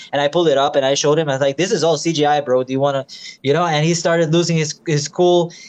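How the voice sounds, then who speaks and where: Very fast and with fairly even intonation, a man with a fairly high pitch talks over noticeable background noise. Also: very even loudness. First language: not English. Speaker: flat earth believer. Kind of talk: casual chat. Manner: halting.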